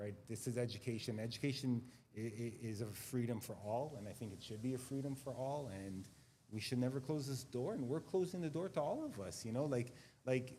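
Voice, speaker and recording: In a Montreal accent, a man talks at a fairly quick pace with a somewhat breathy, dark, mellow tone, medium pitch and ordinary pitch variation. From Quebec, Montreal. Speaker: school administrator. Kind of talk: panel discussion. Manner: halting, many repetitions.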